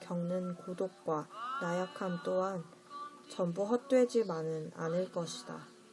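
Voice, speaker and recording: A woman at a medium pitch, speaking at a very slow pace, with music in the background. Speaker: audiobook reader. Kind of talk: audiobook essay reading, ASMR-style bedtime narration.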